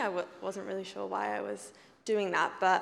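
Speaking with an English accent, a woman keeps a moderate pace. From England. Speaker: church member sharing testimony. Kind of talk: testimony.

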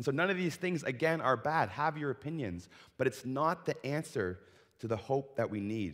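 In a very clean recording with a silent background, a man with an unremarkable speaking voice talks at a fairly quick pace and medium pitch with lively intonation. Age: 30s. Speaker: pastor. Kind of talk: sermon. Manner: casual, filler-heavy.

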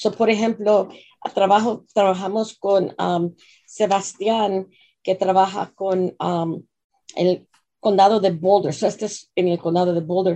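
The speaker has a non-native accent and a fairly slow pace. The intonation is monotone and flat. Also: woman, medium pitch for a woman. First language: English (speaking Spanish). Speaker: nonprofit executive director. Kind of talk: radio interview. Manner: halting.

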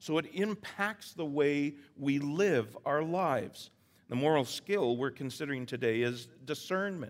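A man is talking fairly slowly. His pitch sits fairly high. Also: ordinary pitch variation. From Canada, Vancouver Island. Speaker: pastor. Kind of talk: sermon. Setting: church. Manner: halting.

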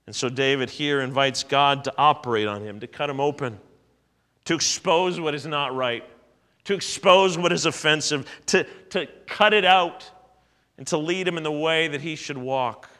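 Fairly high in pitch for a man, this is a plain, everyday voice moving at a moderate pace with ordinary pitch variation and big swings in loudness. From Ontario, Canada. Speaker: pastor. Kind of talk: sermon. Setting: church.

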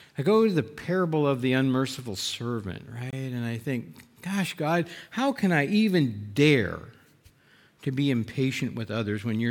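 A man with a normal speaking voice, medium in pitch, at a fairly slow pace, with lively intonation. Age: 60s. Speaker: Bible teacher. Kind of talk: sermon. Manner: conversational.

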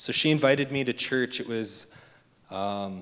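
A man talks in a plain, everyday voice with a Canadian accent. His intonation stays fairly even at a moderate pace. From Alberta, Canada. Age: 20s. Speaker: recovering addict in rehab program. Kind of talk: testimony. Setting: church.

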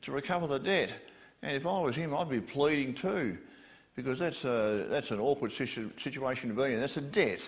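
A natural reading voice carries lively intonation.

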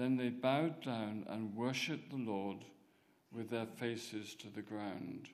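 This man has a plain, everyday voice, a medium pitch and ordinary pitch variation, and he talks at a fairly slow pace. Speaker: scripture reader. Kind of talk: reading aloud. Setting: church.

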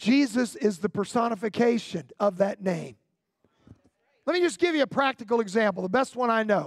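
A man talks in an extremely high voice with an animated tone and lively intonation. His pace is moderate, and the recording is very clean with a silent background. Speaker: pastor. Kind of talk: sermon. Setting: church with congregation. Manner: animated, call-and-response preacher delivery.

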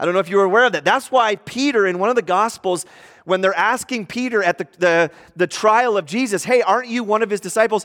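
The speaker talks at a very fast pace in an animated tone. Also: man, high pitch for a man, ordinary pitch variation. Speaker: pastor. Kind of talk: sermon. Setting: church. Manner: loud, animated preacher.

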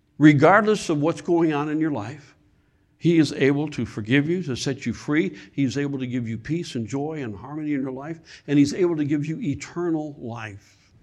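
Against a quiet background, a man with an American accent and an ordinary speaking voice talks at a moderate pace in a fairly high pitch with ordinary pitch variation. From Michigan. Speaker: guest preacher. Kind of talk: sermon. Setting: church.

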